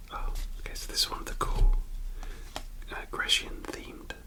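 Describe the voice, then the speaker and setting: Whispering at a moderate pace, a man is heard over noticeable background noise. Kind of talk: ASMR card collection commentary. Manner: whispered.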